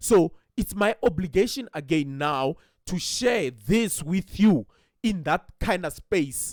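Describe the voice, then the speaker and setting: Very slowly, a man talks at a high pitch, the sound dry and close with no echo, in a very clean recording with a silent background. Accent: non-native. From South Africa. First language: not English. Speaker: trading educator. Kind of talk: tutorial. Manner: halting.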